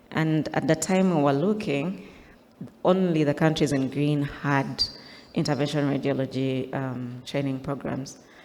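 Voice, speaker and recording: A woman's very deep, low-pitched voice at a fairly slow pace, with ordinary pitch variation and audible room echo. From Uganda. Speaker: interventional radiologist. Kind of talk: conference talk. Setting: stage with slides.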